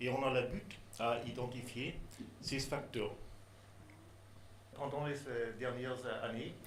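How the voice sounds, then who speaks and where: A man with a non-native accent speaks very slowly at a medium pitch, with long, frequent pauses. His intonation is monotone and flat, and the room echo is audible. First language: not French (speaking French). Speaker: neuroscience researcher. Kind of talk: conference talk. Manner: halting, many hesitations.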